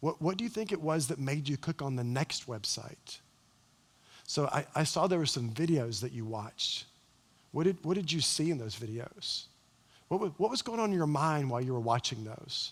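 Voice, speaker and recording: A somewhat breathy man with a calm tone, fairly high pitch, lively intonation and moderate pace, on a very clean recording with a silent background. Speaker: parenting speaker. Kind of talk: seminar talk. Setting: church.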